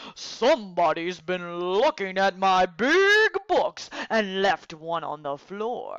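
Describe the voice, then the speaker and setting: In a put-on character voice, the speaker uses a middle pitch and a very slow pace. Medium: read story.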